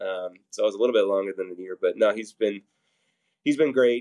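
A fairly quick delivery with a Midwestern American accent, fairly even intonation and a dry, close sound with no echo. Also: man. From Nebraska, Papillion. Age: 40s. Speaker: fitness group workout leader. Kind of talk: interview.

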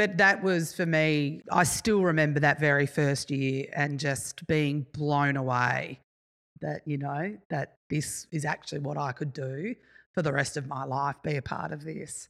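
Speaking in a very deep, low voice, a woman with an Australian accent goes at a fairly slow pace. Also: ordinary pitch variation, very clean recording, silent background. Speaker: event manager. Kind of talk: casual chat. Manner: loud.

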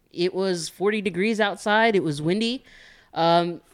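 A man talks at a moderate pace with ordinary pitch variation on a very clean recording with a silent background. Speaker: regular guest, prison worker. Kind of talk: casual chat.

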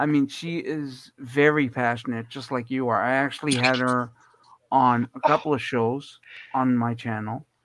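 A man speaks in an unremarkable speaking voice at a medium pitch, fairly slow and with fairly even intonation. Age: 50s. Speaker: guest, blind guide dog user. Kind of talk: casual chat.

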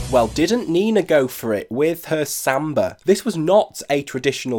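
With a British accent, a man speaks using lively intonation. The recording is very clean, with a silent background. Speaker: podcast host, dance reviewer. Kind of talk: solo podcast commentary. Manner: animated.

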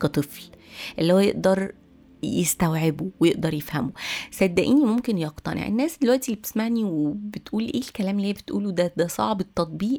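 Her intonation is lively. The woman talks at a fairly quick pace. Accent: Egyptian. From Egypt. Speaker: podcast host. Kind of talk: solo podcast monologue.

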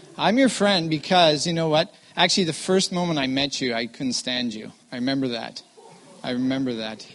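With a western Canadian accent, a man talks at a fairly quick pace in a fairly high pitch with lively intonation over noticeable background noise. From Vancouver, Canada. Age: 40s. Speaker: missionary guest preacher. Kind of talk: chapel talk with improv interview. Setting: college chapel stage with audience.

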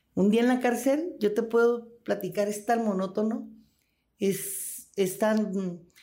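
In a dark, mellow tone, the woman talks at a fairly slow pace. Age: 60s. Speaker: former prisoner. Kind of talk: interview testimony.

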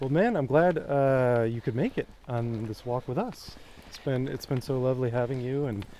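A man speaks in a normal speaking voice at a medium pitch. His pace is moderate and his pitch variation ordinary. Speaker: podcast host and writer. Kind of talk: casual interview. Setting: outdoors.

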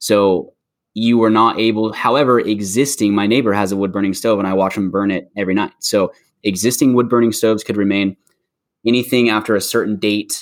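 With an unremarkable speaking voice, a man talks at a fairly quick pace and a fairly low pitch with fairly even intonation. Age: 20s. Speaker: mortgage loan officer, returning guest. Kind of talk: casual chat.

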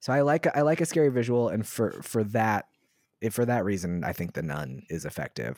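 Speaking at a fairly quick pace with an American accent, a man uses a fairly low pitch with very wide swings, captured on a very clean recording with a silent background and a dry, close sound with no echo. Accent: slight Southern Maryland, comes out sometimes. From US South, Southern Maryland. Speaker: podcast co-host. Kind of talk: casual chat. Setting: home recording room.

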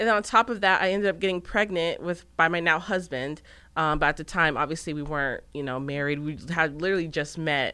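A woman's fairly low voice, bright and sharp in tone, at a very fast pace. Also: ordinary pitch variation, very clean recording, silent background. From Arizona. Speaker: business owner and social media influencer. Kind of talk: interview.

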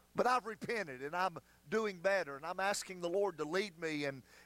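High-pitched and animated, a man speaks with a Southern US accent. His tone is bright and sharp, and his intonation lively. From US South, North Carolina foothills. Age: 50s. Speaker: pastor. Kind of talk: sermon. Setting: church.

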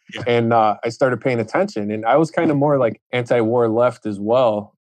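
Medium in pitch, this man has an American accent. He talks at a fairly quick pace with fairly even intonation. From Chicago. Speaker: plumber and painter. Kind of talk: casual chat.

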